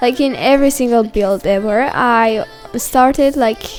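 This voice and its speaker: Music plays in the background as a woman with a non-native accent speaks at a high pitch with lively intonation. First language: not English. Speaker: YouTube gaming creator. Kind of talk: casual gameplay commentary. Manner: halting, many fillers.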